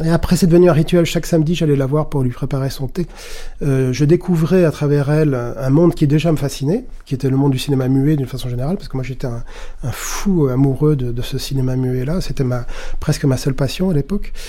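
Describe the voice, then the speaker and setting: Speaking at a very fast pace, a man with a fairly high pitch and ordinary pitch variation is heard against noticeable background noise. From Paris area, France. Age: 50s. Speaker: film archivist and curator. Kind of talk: documentary interview.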